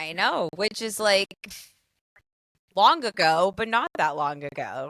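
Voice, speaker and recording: The voice is loud, with a bright, sharp tone. It moves at a very slow pace in a dry, close sound with no echo. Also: woman, medium pitch for a woman. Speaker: podcast co-host. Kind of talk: casual chat. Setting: in friend's bedroom.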